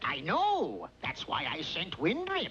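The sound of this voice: A put-on character voice at a slow pace, bright and sharp in tone, with very wide pitch swings and faint background noise. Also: man, high pitch for a man.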